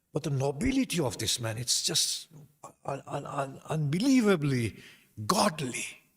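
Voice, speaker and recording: A man speaks in a somewhat breathy voice. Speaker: Islamic preacher. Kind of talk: religious lecture. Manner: slight stutter.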